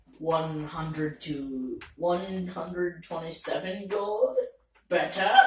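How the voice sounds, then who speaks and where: A man's high-pitched, put-on character voice at a very slow pace, fairly even in intonation, with slight echo. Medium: actual play. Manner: broken speech, single words.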